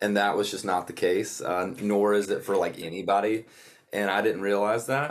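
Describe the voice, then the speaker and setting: On a very clean recording with a silent background, a man with a Southern US accent speaks at a moderate pace in a fairly low pitch with fairly even intonation. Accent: Southern US (Georgia). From US South, North Georgia. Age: 20s. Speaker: country musician. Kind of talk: casual interview.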